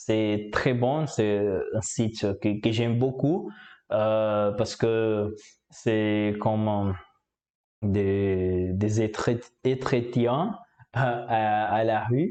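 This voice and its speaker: A man in a Portuguese accent, fairly low in pitch, with a dark, mellow tone, fairly even intonation, very even loudness, a very slow pace and long, frequent pauses. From Brazil. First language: Portuguese (speaking French). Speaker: language learner, YouTuber. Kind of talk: casual vlog monologue. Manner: halting, many hesitations.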